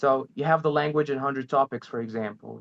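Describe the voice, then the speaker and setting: A man with an Arabic accent talks at a fairly quick pace with ordinary pitch variation, in a dry, close sound with no echo. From Egypt. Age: 20s. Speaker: language learner, channel host. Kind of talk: interview. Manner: halting.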